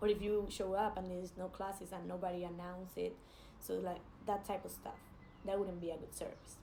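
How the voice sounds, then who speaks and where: A woman with a Spanish accent talks at a fairly quick pace. Audible room echo surrounds her voice. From Spain. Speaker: jiu-jitsu athlete. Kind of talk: casual vlog advice. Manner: hesitant, many fillers.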